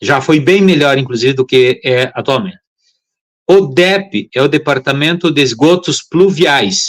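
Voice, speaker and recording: His loudness stays very even as this man speaks at a fairly slow pace in a fairly high pitch with ordinary pitch variation. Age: 60s. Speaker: public water and drainage official. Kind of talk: live-stream interview. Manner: halting, with many fillers.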